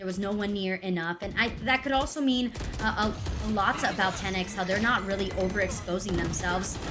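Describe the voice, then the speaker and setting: A woman with a Spanish accent speaks at a fairly quick pace with hardly any pauses, at medium pitch and with ordinary pitch variation. Noticeable background noise and audible room echo are present. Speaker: esports caster. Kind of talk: live commentary.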